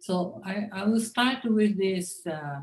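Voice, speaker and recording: A woman speaks at medium pitch with a Japanese accent. Her pace is very slow and her intonation lively. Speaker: linguistics professor. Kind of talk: conference lecture. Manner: halting.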